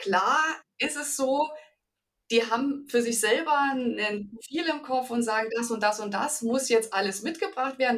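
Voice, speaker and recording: Her pitch fairly high, a woman speaks at a moderate pace. The variation in her pitch is ordinary. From Bavaria, Ingolstadt. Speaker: HR manager. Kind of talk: interview.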